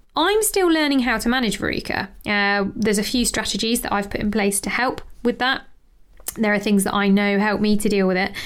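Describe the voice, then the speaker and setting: A woman with an unremarkable speaking voice, a fairly high pitch, ordinary pitch variation and a fairly quick pace. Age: 30s. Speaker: health and lifestyle coach, podcast host. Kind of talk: solo podcast monologue. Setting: home office with window open.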